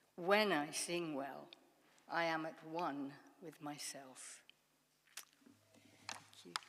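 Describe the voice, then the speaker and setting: A woman's very deep, low voice at a very slow pace, with ordinary pitch variation, long, frequent pauses and audible room echo. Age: 70s. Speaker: congregation member sharing a reflection. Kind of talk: reading aloud a personal essay.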